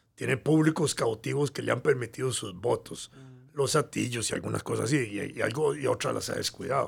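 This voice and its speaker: On a very clean recording with a silent background, a man with a Costa Rican accent talks at a moderate pace. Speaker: historian. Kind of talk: interview, explanatory history talk.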